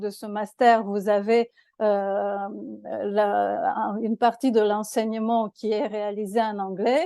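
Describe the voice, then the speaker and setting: In a Romanian accent, a woman speaks at a very slow pace with a dark, mellow tone, fairly high pitch and fairly even intonation. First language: Romanian (speaking French). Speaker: law professor, master's programme director. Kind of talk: programme presentation to prospective students. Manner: halting, many hesitations and repetitions.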